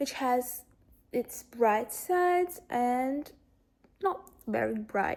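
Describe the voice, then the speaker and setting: In a Russian accent, a woman speaks very slowly at a high pitch. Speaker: lifestyle vlogger. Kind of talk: casual chat. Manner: halting.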